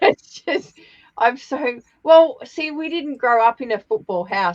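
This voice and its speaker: With an Australian accent, a woman speaks using lively intonation. The sound is dry and close, with no echo. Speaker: papercraft demonstrator. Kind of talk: casual chat. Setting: live stream.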